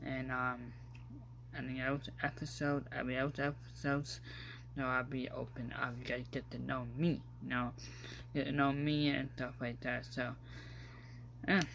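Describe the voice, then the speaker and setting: Male speaker with long, frequent pauses and audible room echo. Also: moderate pace. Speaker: podcast host. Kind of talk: casual vlog-style podcast monologue. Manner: hesitant, many fillers.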